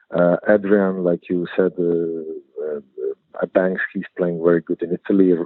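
The speech is slow-ish and delivered with monotone, flat intonation. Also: man, very deep, low pitch for a man. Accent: Croatian. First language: Croatian. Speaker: basketball head coach. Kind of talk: interview. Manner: halting, repeats words.

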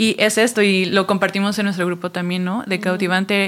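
Over noticeable background noise, a woman talks at a fairly quick pace and a medium pitch. Her intonation is monotone and flat. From Mexico City. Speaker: church ministry worker. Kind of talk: casual chat.

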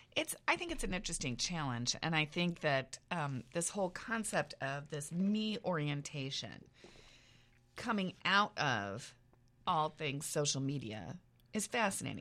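A woman speaks with an American accent in a very deep, low voice with a bright, sharp tone. Her pace is fairly slow and her pitch swings very widely. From Iowa, US Midwest. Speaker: professor and podcast co-host. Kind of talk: casual chat.

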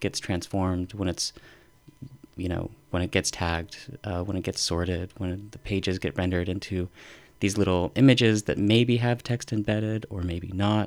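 A plain, everyday voice from a man with an American accent, at a fairly low pitch and moderate pace with fairly even intonation, on a very clean recording with a silent background. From northern Utah. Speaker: professor. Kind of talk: casual chat.

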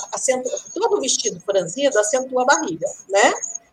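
Noticeable background noise surrounds a woman speaking at a moderate pace. Her high pitch swings very widely. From rural Brazil. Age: 50s. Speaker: pattern-making teacher. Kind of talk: live podcast interview.

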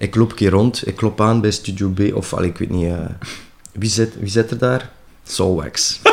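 A man speaks in an ordinary speaking voice at a moderate pace, with fairly low pitch and fairly even intonation. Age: 40s. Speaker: drummer. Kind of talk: interview. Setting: at home.

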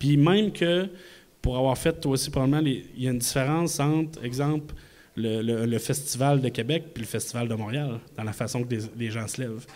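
Ordinary pitch variation in a man's voice, along with audible room echo. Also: medium pitch for a man, moderate pace. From Quebec City. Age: 40s. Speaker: magician. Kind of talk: live podcast talk before audience. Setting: stage with audience in a microbrewery.

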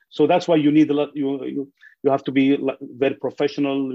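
Speaking with an Arabic accent, a man delivers his words fairly quickly in a fairly high, flat monotone. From Syria, Idlib. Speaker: newspaper journalist. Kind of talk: webinar panel discussion. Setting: video call.

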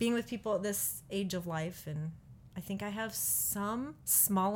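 A somewhat breathy woman's voice in an American accent, medium in pitch with ordinary variation, at a fairly slow pace. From US Midwest (Peoria, Illinois). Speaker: pastor and college professor. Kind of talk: casual interview.

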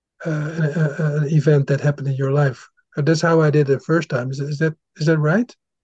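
Somewhat breathy and fairly high, a man's voice moves at a fairly quick pace in a monotone, flat intonation, with a dry, close sound and no echo. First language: Dutch. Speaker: podcast host. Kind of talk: interview. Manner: halting.

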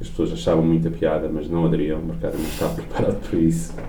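Amid noticeable background noise and audible room echo, a man speaks at a very fast pace with a very deep, low pitch. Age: 40s. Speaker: business executive. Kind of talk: interview. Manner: halting.

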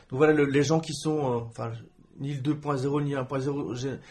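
A man with an unremarkable speaking voice and fairly even intonation. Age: 30s. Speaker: journalist and blogger. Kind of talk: interview. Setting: host's home.

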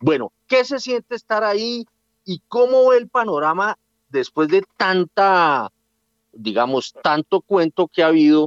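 A man with a high pitch talks at a fairly slow pace with very wide pitch swings, recorded dry and close with no echo. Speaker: radio host and director. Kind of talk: radio interview.

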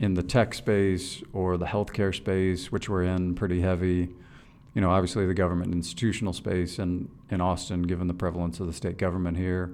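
In a flat monotone, a man with a very deep, low pitch talks at a fairly quick pace with audible room echo. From moved around the US as a military child, mostly East Coast. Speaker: bank executive. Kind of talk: interview. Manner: hesitant with frequent repeated words.

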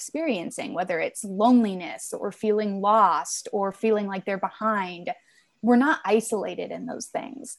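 At a moderate pace, a woman of medium pitch uses an ordinary speaking voice with ordinary pitch variation over a quiet background. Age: 20s. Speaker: author and journalist. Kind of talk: interview.

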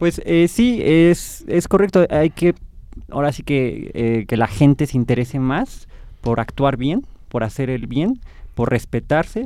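Lively in intonation, a man speaks in a dark, mellow tone at a fairly slow pace. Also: fairly high pitch for a man. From Mexico. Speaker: student filmmaker. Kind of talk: interview.

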